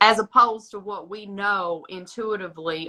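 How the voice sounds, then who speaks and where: A woman speaks in an East Tennessee accent at a medium pitch and moderate pace. Her tone is bright and sharp, with fairly even intonation. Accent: Southern US (East Tennessee). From US South, East Tennessee (Smoky Mountains). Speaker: astrologer. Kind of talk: casual chat. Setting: social media live stream.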